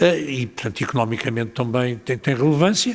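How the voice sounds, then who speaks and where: This is a man speaking at a medium pitch. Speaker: mayor. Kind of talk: panel discussion answer. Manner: hesitant, many filler sounds.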